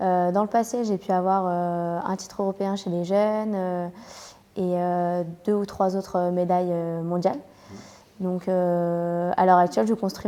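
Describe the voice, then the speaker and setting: Her dark, mellow tone held in monotone, flat intonation, a woman with a medium pitch speaks at a fairly slow pace. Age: 20s. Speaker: karate athlete. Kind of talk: interview. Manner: hesitant, many fillers.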